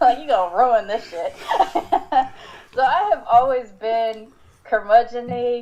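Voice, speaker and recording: A woman with a high voice speaks at a fairly slow pace, her loudness swinging widely and her pitch varying in an ordinary way, with long, frequent pauses and noticeable background noise. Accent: American. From Southern California, Long Beach/Compton. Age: 40s. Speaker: podcast host. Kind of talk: casual chat.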